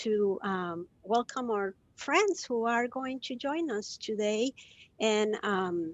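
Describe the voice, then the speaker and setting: A woman with a fairly high pitch, at a very slow pace. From Costa Rica. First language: Spanish. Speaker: compassion educator. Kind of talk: live video interview. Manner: hesitant, many fillers.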